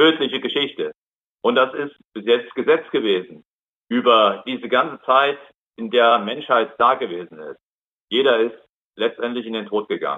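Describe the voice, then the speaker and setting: Speaking at a moderate pace, a man with medium pitch and ordinary pitch variation leaves long, frequent pauses and shows big swings in loudness. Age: 60s. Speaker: lay preacher. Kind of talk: sermon. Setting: video call.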